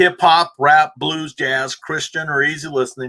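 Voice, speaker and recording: Here a man talks at a moderate pace in a fairly high voice with a bright, sharp tone and ordinary pitch variation. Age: 60s. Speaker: music show host. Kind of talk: casual music show talk.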